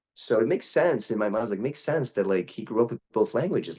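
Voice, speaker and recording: With a dark, mellow tone, the voice moves at a fairly quick pace through very wide pitch swings. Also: man. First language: Portuguese. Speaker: voice actor. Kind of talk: interview. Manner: halting, many fillers.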